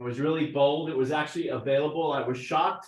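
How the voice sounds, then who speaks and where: A man with a fairly high pitch. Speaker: marketing company founder presenting to real estate agents. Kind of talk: sales presentation to an office meeting. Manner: loud, yelling.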